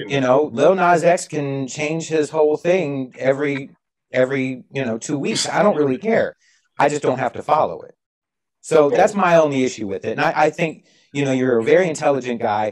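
Against a quiet background, a man with a fairly high pitch talks at a moderate pace with ordinary pitch variation. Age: 40s. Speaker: podcast co-host. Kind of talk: debate. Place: home room. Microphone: video call.

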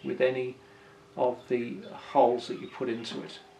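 A man is speaking. His pace is fairly slow. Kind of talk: tutorial. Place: workshop.

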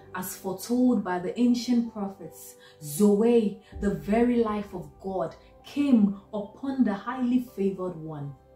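At a fairly slow pace with ordinary pitch variation and big swings in loudness, the voice carries audible room echo over faint music in the background. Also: woman. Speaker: doctor. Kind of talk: spoken word poetry reading. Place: home room. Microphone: phone near.

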